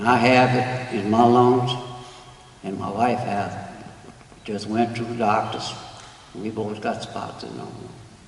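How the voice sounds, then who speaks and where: Amid noticeable background noise and audible room echo, a man speaks fairly slowly at a medium pitch in a monotone, flat intonation, with long, frequent pauses and big swings in loudness. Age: 70s. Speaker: retired community resident. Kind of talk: public comment.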